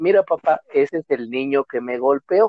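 A man speaks at a fairly slow pace in an unremarkable speaking voice. His pitch is fairly high. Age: 20s. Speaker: podcast guest. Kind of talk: casual chat.

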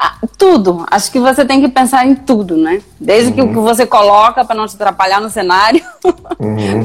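Noticeable background noise runs under the clip. A woman speaks at a fairly quick pace. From Brazil, Guaíra interior. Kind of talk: casual live-stream interview.

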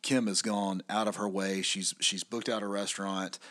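Heard in a very clean recording with a silent background, a man speaks at a moderate pace in an unremarkable speaking voice pitched fairly low. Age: 40s. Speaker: podcast co-host, business owner. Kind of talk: casual chat.

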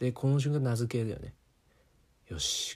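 Recorded very cleanly with a silent background, a man speaks at a fairly slow pace in a relaxed, somewhat breathy voice with a dark, mellow tone. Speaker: solo podcast host. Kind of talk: casual solo monologue. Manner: relaxed and rambling.

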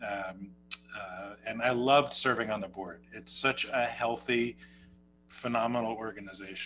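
With an American accent, a man speaks at medium pitch in a bright, sharp tone with fairly even intonation. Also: moderate pace. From New Jersey, US. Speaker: rabbi and podcast co-host. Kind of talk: casual conversational podcast.

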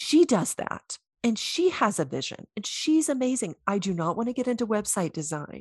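A woman speaks at a moderate pace with hardly any pauses, her fairly high, somewhat breathy voice swinging very widely in pitch over a dry, close sound with no echo. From US South. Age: 50s. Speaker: intuitive coach, former chiropractor. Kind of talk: interview.

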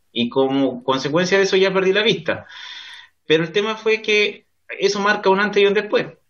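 At a moderate pace, a man with a high pitch speaks in lively intonation at very even loudness. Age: 30s. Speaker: lawyer. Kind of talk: interview. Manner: halting.

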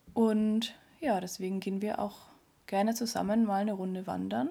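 Recorded very cleanly with a silent background, a woman speaks at a moderate pace in a medium pitch with ordinary pitch variation. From Neumarkt, Upper Palatinate, Bavaria. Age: 20s. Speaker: podcast co-host, trainee dog physiotherapist. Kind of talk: casual chat.

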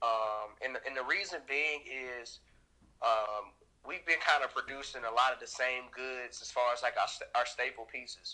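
With an American accent, an unremarkable speaking voice moves at a moderate pace with fairly even intonation and big swings in loudness. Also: man, medium pitch for a man. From US South, Nashville, Tennessee. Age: 20s. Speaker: clothing brand founder. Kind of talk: casual interview.

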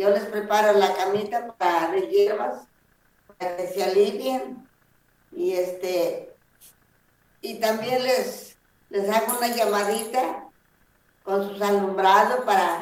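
A woman with a medium-pitched voice speaks at a very slow pace with ordinary pitch variation and long, frequent pauses. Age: 70s. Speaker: traditional healer. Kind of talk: interview. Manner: halting.

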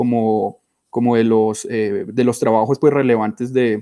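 Over a silent background in a very clean recording, a man speaks at a moderate pace with a dark, mellow tone, the sound dry and close with no echo. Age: 30s. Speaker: molecular biology researcher. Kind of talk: interview. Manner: halting.

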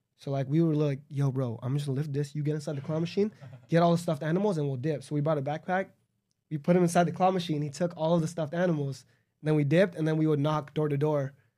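With a Southern California accent, a man talks very fast at a fairly high pitch in a dark, mellow tone. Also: fairly even intonation. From Los Angeles suburb (West Covina). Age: 20s. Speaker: entrepreneur. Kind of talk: casual chat.

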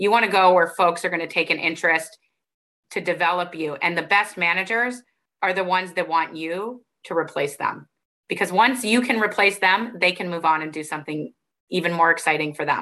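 Fairly low in pitch, a woman talks in a plain, everyday voice at a fairly quick pace with ordinary pitch variation. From Arizona, US. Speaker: finance professor. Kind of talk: interview, advice talk.

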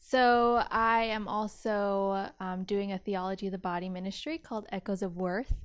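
In an American accent, the speaker talks at a fairly slow pace with fairly even intonation over a very clean recording and a silent background. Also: woman. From US West Coast, Central Valley California (Modesto). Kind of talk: casual chat / faith testimony.

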